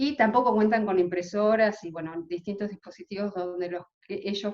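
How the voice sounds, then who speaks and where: Her pitch moves in an ordinary way. The woman's voice rests at a medium pitch. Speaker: legal aid lawyer. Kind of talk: conference presentation. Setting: video call. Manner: fast.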